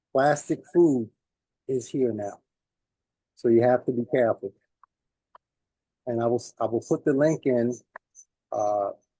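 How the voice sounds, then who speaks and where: A man's dark, mellow voice at a medium pitch, with ordinary pitch variation, a fairly slow pace, a New York accent, long and frequent pauses, and a dry, close sound with no echo. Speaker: community elder giving health talk. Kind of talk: speech at community celebration. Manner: halting, many fillers.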